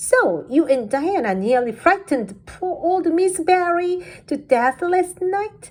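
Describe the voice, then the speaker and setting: In a put-on character voice, a woman sounds squeaky at an extremely high pitch with very wide pitch swings, speaking at a fairly slow pace with hardly any pauses. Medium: read story. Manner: blunt, gossipy.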